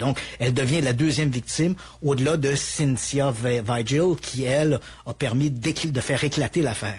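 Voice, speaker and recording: A man in a Quebec accent speaks at a fairly slow pace over noticeable background noise. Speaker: true crime storyteller. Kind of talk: true crime narration in conversation.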